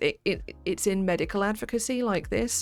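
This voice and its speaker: A woman talks at a moderate pace. Music is heard behind her. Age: 30s. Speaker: PhD student streamer. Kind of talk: casual study stream chat. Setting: live stream.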